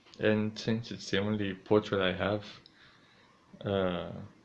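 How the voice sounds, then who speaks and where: The speaker talks at a fairly slow pace in a monotone, flat intonation. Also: man, long, frequent pauses. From Greece. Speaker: streamer. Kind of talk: casual vlog narration. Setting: home, in his room.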